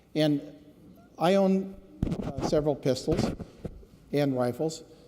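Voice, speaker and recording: Over noticeable background noise, a man with a fairly high voice speaks at a very slow pace with ordinary pitch variation. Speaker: state legislator, former police officer. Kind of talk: floor speech. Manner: unhappy, earnest.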